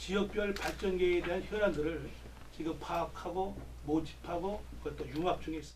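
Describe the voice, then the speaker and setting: Noticeable background noise and audible room echo frame the recording. A man talks at a moderate pace. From South Korea, Gyeonggi (Pocheon). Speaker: retired army general and parliamentary candidate. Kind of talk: press conference Q&A. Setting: press briefing room. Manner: formal.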